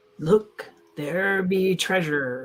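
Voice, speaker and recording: A raspy put-on character voice at middle pitch. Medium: actual play.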